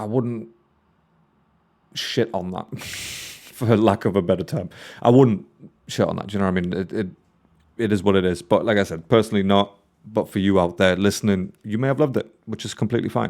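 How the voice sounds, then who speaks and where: A man with a northern English accent talks at a fairly quick pace, at a fairly low pitch with ordinary pitch variation, leaving long, frequent pauses. The recording is very clean, with a silent background. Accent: mild northern English. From northeast England. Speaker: music reaction youtuber. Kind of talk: casual reaction commentary. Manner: casual, conversational.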